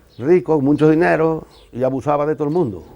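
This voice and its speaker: Dark and mellow in tone, a man's voice carries the words. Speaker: interviewee, son of murder victim. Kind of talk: testimony. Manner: halting.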